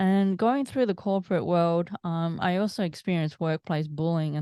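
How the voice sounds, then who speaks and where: A woman with an Australian accent has a dark, mellow tone at a medium pitch. The background is quiet. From Australia, Melbourne. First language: Italian. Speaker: mindset coach. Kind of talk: interview.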